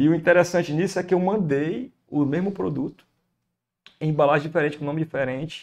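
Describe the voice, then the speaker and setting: A fairly high-pitched man with a Ceará accent talks at a fairly quick pace with ordinary pitch variation. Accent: Brazilian Ceará. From Ceará, Brazil. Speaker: podcast guest, entrepreneur. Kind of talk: everyday, business talk. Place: studio. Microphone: studio mic.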